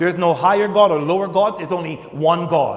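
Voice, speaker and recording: Against a quiet background, a man speaks at a moderate pace with a high pitch. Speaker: pastor preaching. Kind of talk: sermon. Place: church. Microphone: lapel.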